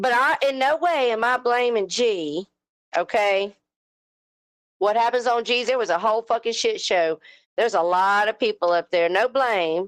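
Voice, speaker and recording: On a very clean recording with a silent background, a moderate-paced voice with a Southern US accent sounds animated, using lively intonation at a very even loudness. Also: woman. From US South. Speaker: live stream host. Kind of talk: heated rant on live panel.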